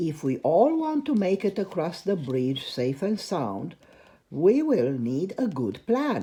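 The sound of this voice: Reading done in an unforced reading voice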